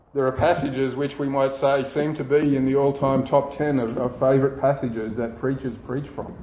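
Over noticeable background noise, a man with an Australian accent speaks at a moderate pace and medium pitch in a monotone, flat intonation, with hardly any pauses. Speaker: pastor. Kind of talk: sermon.

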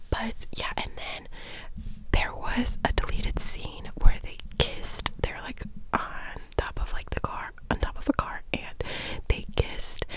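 Whispering and soft-spoken, a woman talks at a fairly slow pace with long, frequent pauses and big swings in loudness, in a dry sound with no echo and noticeable background noise. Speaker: vlogger. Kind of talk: casual vlog chat, movie recap. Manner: close-mic soft ASMR whisper. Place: home room. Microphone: studio mic.

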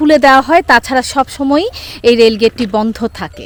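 A woman with a high pitch speaks in fairly even intonation, the sound dry and close with no echo. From Bangladesh. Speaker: travel vlogger. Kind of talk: documentary-style vlog narration. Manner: formal.

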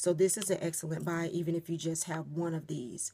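Her fairly low pitch and dark, mellow tone stay monotone and flat as the woman talks at a moderate pace. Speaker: beauty vlogger. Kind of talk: casual vlog chat. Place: home room. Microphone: phone near.

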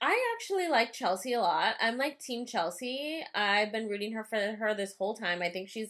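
A woman talks at a moderate pace with ordinary pitch variation and hardly any pauses. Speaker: podcast co-host. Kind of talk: casual podcast chat. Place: home room.

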